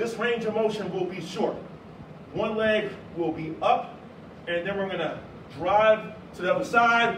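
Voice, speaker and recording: A man's high voice at a very slow pace with ordinary pitch variation, over noticeable background noise. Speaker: fitness instructor. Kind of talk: workout instruction. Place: gym. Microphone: camera far.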